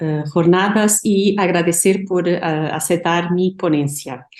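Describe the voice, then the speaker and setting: With a Portuguese accent, a woman speaks at a fairly slow pace. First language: Portuguese (speaking Spanish). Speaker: art historian and researcher. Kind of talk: academic conference presentation.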